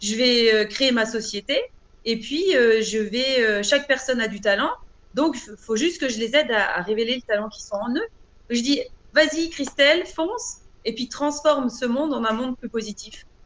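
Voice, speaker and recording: A woman's high voice at a moderate pace, with ordinary pitch variation and big swings in loudness. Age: 40s. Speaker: author and trainer. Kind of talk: interview. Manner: hesitant, many fillers.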